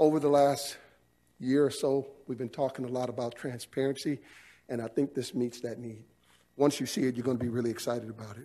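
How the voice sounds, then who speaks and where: The pace is very fast. A man delivers it with fairly even intonation. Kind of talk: formal presentation. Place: hall. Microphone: podium.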